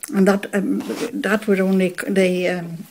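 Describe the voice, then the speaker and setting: A woman with a Northern Irish accent at a medium pitch. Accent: Northern Irish (Fermanagh). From Northern Ireland, County Fermanagh (Belcoo area). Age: 80s+. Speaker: local resident recalling childhood. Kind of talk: oral history interview.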